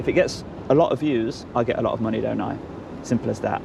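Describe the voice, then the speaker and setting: A man with a Leicester accent, with noticeable background noise. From Leicester, England. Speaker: citizen journalist auditor. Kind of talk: casual chat.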